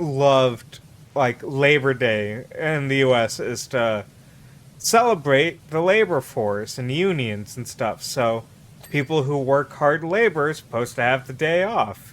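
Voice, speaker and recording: A man with a plain, everyday voice and an American accent talks at a fairly slow pace and a fairly high pitch, his intonation lively. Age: 30s. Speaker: streamer. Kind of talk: casual chat.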